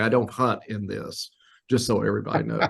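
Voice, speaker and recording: A man with an unremarkable speaking voice talks at a fairly quick pace in a fairly low pitch, his intonation fairly even. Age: 60s. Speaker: wildlife biologist. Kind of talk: casual interview. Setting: remote call from an office.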